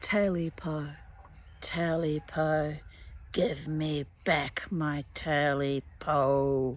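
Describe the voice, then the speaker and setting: The woman uses a put-on character voice at a very deep, low pitch. She speaks at a very slow pace. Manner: eerie, pleading.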